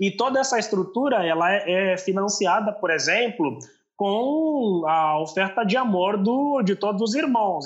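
A man with an Angolan accent talks in a high voice. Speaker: youth pastor. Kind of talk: casual chat.

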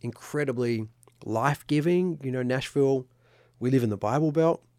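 With an Australian accent, a man speaks with ordinary pitch variation on a very clean recording with a silent background. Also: dry, close sound with no echo. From Sydney, Australia. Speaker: songwriter. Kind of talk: casual chat. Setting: studio.

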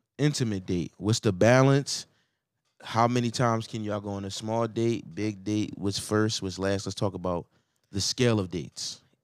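Pitched fairly low, a man speaks at a moderate pace with ordinary pitch variation. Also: very clean recording, silent background. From Philadelphia. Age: 30s. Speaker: podcast co-host. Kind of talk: casual chat.

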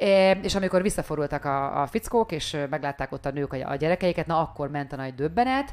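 Very deep and low in pitch, a woman speaks at a very fast pace with hardly any pauses. Her intonation is lively on a very clean recording with a silent background. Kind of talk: casual chat. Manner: soft-spoken.

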